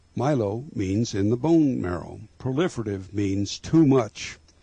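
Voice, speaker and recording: Here a man speaks at a fairly slow pace with lively intonation. His voice is somewhat breathy, with a dark, mellow tone. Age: 70s. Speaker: nature video producer and disease survivor. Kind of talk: educational narration.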